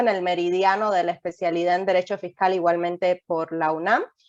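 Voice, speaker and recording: In a dry, close sound with no echo, a woman with a Cuban accent talks at a moderate pace, her fairly low pitch carried by fairly even intonation. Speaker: lawyer. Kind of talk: webinar presentation.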